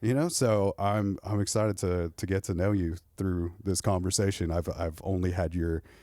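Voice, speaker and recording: In a very clean recording with a silent background, a man with a Southern California accent talks at a moderate pace with hardly any pauses, in a very deep, low pitch and a dark, mellow tone, with fairly even intonation and very even loudness. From Southern California, Corona. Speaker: podcast host. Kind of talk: casual chat.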